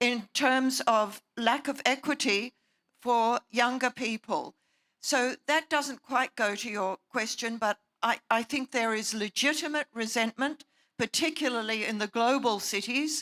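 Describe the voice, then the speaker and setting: A woman speaks at a fairly slow pace in an Australian accent, her pitch high with ordinary variation and her tone bright and sharp. The sound is dry and close with no echo, on a very clean recording with a silent background. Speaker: panelist. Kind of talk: panel discussion.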